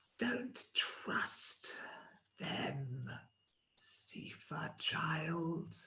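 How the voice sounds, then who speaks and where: A man whispering in a put-on character voice. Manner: warning.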